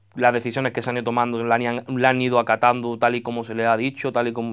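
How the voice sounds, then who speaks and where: A man is talking at a fairly quick pace, with a quiet background behind him. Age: 20s. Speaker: football coach. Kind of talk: radio interview. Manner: halting. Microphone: handheld.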